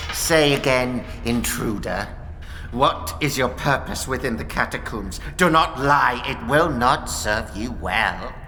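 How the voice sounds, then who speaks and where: A growling put-on character voice, low-to-middle in pitch, moves at a fairly slow pace. Clear background noise is heard. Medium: audio drama. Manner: twitchy, contemptuous, repeats words.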